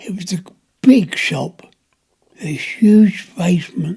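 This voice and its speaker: Speaking very slowly in a high pitch, a man talks with a London accent. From London, Notting Hill. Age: 90s. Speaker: war veteran. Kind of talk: interview. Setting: at home. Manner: halting.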